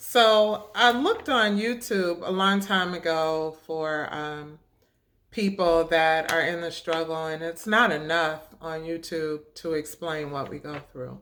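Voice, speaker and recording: A woman speaks at a very slow pace, her loudness swinging widely. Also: ordinary pitch variation. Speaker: video blogger with multiple sclerosis. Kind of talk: personal vlog testimony. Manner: hesitant, many fillers.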